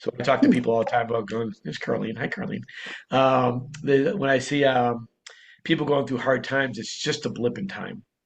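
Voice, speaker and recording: A man with a Boston accent, medium-pitched, at a fairly quick pace with ordinary pitch variation. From Boston, US. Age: 60s. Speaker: entrepreneur. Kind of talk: interview storytelling.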